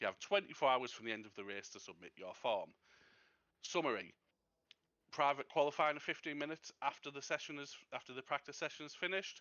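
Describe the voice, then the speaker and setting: Lively intonation and big swings in loudness mark a man talking at a very fast pace. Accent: British. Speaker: race steward. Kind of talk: race briefing.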